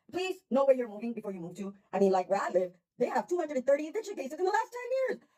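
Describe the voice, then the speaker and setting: In an American accent, the speaker delivers an animated tone at a very fast pace, with very wide pitch swings. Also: woman. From New York. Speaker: vlogger, tenant in a housing dispute. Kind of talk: personal vlog rant. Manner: blunt, animated.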